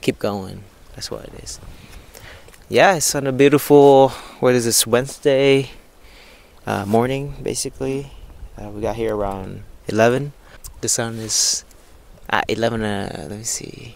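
A man at a fairly slow pace with ordinary pitch variation, long, frequent pauses and big swings in loudness, in a dry sound with no echo. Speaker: vlogger. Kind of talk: casual vlog chat. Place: waterside. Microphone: lapel.

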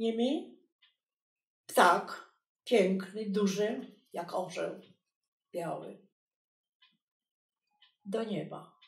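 The speaker talks at a very slow pace with long, frequent pauses, sounding somewhat breathy and using ordinary pitch variation. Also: woman, medium pitch for a woman. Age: 80s+. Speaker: textile artist. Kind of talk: documentary interview answer.

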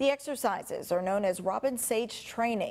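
With vocal fry and lively intonation, a woman speaks at a moderate pace. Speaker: news anchor. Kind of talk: news reading. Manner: crisp, even, formal anchor delivery. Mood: serious, measured. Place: studio.

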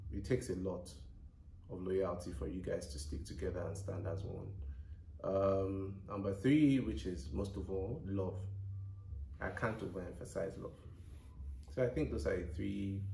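A man with a very deep, low pitch at a moderate pace, long and frequent pauses, audible room echo and light background noise. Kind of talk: casual vlog chat. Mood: relaxed, laughing. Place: home room. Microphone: camera far.

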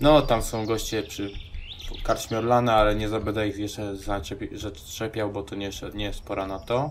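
A man's fairly low voice, with fairly even intonation, comes through noticeable background noise. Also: moderate pace. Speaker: gaming video creator. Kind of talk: let's play commentary. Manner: casual, hesitant with fillers.

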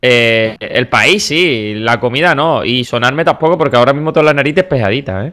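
A man with a fairly high pitch and a bright, sharp tone sounds animated, with ordinary pitch variation. He speaks with hardly any pauses, at a very even loudness. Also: fairly quick pace. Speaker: gaming YouTuber. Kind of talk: casual gaming commentary.

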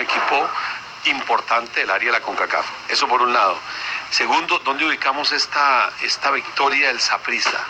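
A man keeps his loudness very even at a fairly quick pace against noticeable background noise. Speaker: radio sports commentator. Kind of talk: sports radio analysis.

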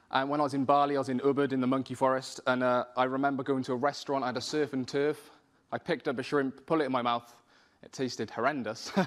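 Against a quiet background, a speaker with a Welsh accent talks at a very fast pace with monotone, flat intonation. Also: man. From South Wales. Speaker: spoken word poet and rapper. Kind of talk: personal story told to an audience. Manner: hesitant, conversational. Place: hall.

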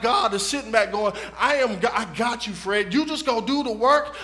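Projecting his raised voice, a man talks at a moderate pace with ordinary pitch variation. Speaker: preacher. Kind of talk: sermon. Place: church.

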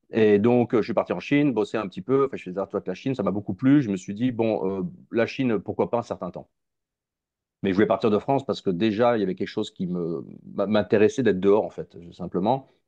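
The man's voice is fairly low and has a dark, mellow tone. He talks at a fairly quick pace. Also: ordinary pitch variation, quiet background. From Africa. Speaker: YouTuber on Russia. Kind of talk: casual interview. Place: home room. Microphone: earbuds.

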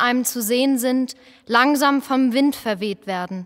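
Her pitch variation is ordinary. The woman's voice sits high. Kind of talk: poetic spoken performance, lines passed between voices.

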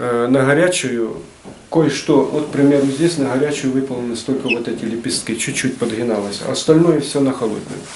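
A man with a Ukrainian accent at a moderate pace, ordinary pitch variation, and noticeable background noise. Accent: Ukrainian-accented Russian with surzhyk. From Ukraine, Nikopol; Ukraine. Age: 60s. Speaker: retired metalworker and craftsman. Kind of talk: casual explanation of his artwork. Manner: halting, many fillers.

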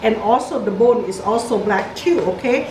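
At a moderate pace, a woman speaks in a high pitch amid noticeable background noise. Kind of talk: cooking tutorial. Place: kitchen. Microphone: camera far.

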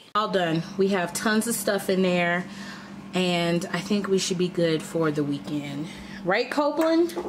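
A woman speaks at a fairly slow pace with ordinary pitch variation. Her loudness stays very even over noticeable background noise. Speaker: parent vlogger. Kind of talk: casual vlog chat. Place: kitchen. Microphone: phone near.

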